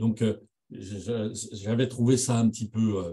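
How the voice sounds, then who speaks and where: Very slowly, a man talks in a somewhat breathy, dark and mellow voice at medium pitch. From France. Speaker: radiology professor. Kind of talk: lecture. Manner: halting.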